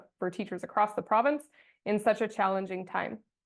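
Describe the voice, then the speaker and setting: A woman of medium pitch speaks with a Canadian Prairie accent and fairly even intonation. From Saskatchewan, Canada. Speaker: teachers' union president. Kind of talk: panel presentation.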